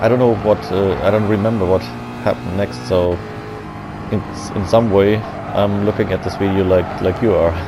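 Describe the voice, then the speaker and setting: Over noticeable background noise, a man with a German accent and a fairly low pitch speaks at a moderate pace with long, frequent pauses. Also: ordinary pitch variation. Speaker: gaming commentator. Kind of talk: gameplay commentary. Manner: mumbling.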